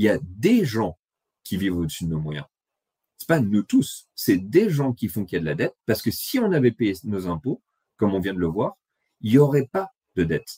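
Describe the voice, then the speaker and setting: Pitched fairly low, a man talks at a moderate pace with very wide pitch swings and long, frequent pauses. His somewhat breathy voice has a dry, close sound with no echo. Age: 30s. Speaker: economics blogger. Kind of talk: presentation.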